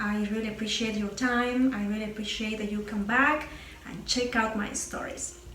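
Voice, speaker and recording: A strong Peruvian accent at a moderate pace with fairly even intonation, amid audible room echo and noticeable background noise. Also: woman. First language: Spanish. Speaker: YouTuber, former English teacher. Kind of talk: casual vlog talk to camera. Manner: some hesitations with uh.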